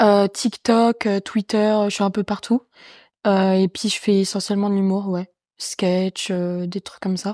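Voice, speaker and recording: The voice has a dark, mellow tone and a monotone, flat intonation at a fairly slow pace. The recording is very clean, with a silent background and a dry, close sound with no echo. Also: woman. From France, Champagne-Ardenne. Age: 20s. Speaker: comedian and streamer. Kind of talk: casual chat. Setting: in an apartment. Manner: talkative.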